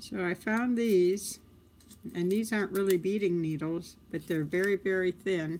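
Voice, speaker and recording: In a normal speaking voice, the delivery is fairly slow with fairly even intonation. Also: woman, medium pitch for a woman. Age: 60s. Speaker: crafts livestreamer. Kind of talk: live tutorial. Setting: live stream. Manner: casual, chatty.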